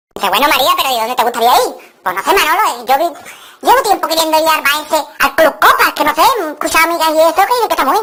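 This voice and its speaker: This is a cartoonish character voice pitched high. It races along at a very fast pace. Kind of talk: joke telling, comedy monologue. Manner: lively, crude, humorous.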